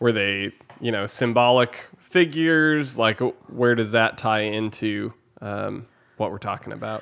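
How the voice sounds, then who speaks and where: This man has an unremarkable speaking voice, medium in pitch, and he talks at a fairly slow pace. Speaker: podcast co-host. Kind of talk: casual chat. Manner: deadpan, joking.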